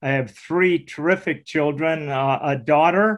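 Here is a man with a normal speaking voice and a fairly high pitch. He talks at a fairly slow pace with ordinary pitch variation. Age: 60s. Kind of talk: interview testimony.

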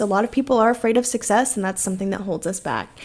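On a very clean recording with a silent background, a woman with an unremarkable speaking voice talks at a fairly high pitch with ordinary pitch variation. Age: 20s. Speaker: podcast host and online business coach. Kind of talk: solo podcast monologue. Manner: casual, laughs often.

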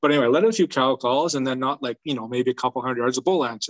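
A man with a Canadian accent talks at a very fast pace. His pitch sits at a medium level with ordinary variation. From British Columbia, Canada. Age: 30s. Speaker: elk hunter. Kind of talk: casual chat.

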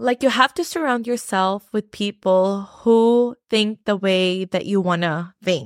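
A woman speaks at a very slow pace with hardly any pauses, at a medium pitch with ordinary pitch variation. The sound is dry and close with no echo, on a very clean recording with a silent background. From Philippines. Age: 30s. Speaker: nurse and finance podcast host. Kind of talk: solo podcast talk. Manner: casual, filler-heavy.

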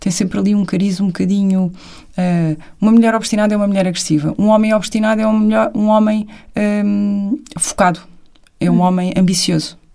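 A woman speaks at a medium pitch in a dark, mellow, somewhat breathy tone, with very even loudness and fairly even intonation. Her pace is fairly quick, yet long, frequent pauses recur. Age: 30s. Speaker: television producer and business co-founder. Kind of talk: casual chat.

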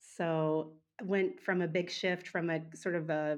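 An unremarkable speaking voice from a woman with an American accent, fairly low in pitch, fairly even in intonation, against a quiet background. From Oklahoma, US. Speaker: music teacher. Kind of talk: interview conversation.

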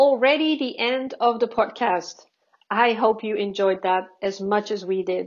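A woman with a fairly high pitch, ordinary pitch variation and a fairly slow pace. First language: not English. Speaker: podcast host. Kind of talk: interview.

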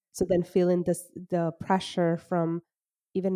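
A woman speaks in a dark, mellow tone. The recording is very clean, with a silent background and a dry, close sound with no echo. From Caribbean island. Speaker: psychologist podcast host. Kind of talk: casual interview chat. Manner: animated.

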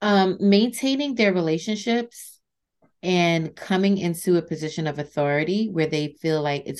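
Lively intonation at a moderate pace over a quiet background. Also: woman. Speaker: nurse leader. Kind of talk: interview. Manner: calm, confident.

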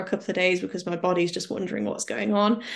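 A woman's normal speaking voice at medium pitch with fairly even intonation, over a quiet background. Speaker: patient advocate and author. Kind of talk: casual interview chat.

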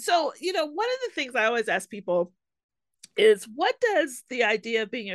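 A woman speaks at a fairly quick pace with very wide pitch swings against a quiet background. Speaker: podcast host. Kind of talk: interview, casual chat. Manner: animated, enthusiastic.

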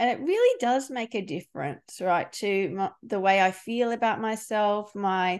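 In an Australian accent, a woman speaks at a fairly slow pace with a fairly high pitch and ordinary pitch variation. The background is quiet. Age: 40s. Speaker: podcast host and leadership coach. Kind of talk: interview.

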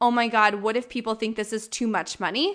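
A woman's raised, projected voice comes across bright and sharp, with an animated tone. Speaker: mindset coach and podcast host. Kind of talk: solo podcast monologue, motivational. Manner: high energy, animated.

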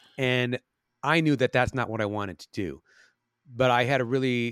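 A man with an American accent and an ordinary speaking voice talks at a moderate pace in a medium pitch with ordinary pitch variation, the sound dry and close with no echo in a very clean recording with a silent background. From Chicago. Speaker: actor, musician and cancer survivor. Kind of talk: interview.

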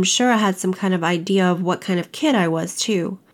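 This woman has a plain, everyday voice with an American accent and a medium pitch. Her intonation is fairly even and her pace moderate. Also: very clean recording, silent background. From US South, Kentucky and North Carolina. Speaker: personal storyteller, healing speaker. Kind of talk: personal testimony narration.

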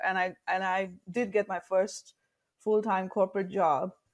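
With an Indian accent, a woman speaks at a medium pitch. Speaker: leadership coach. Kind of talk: interview.

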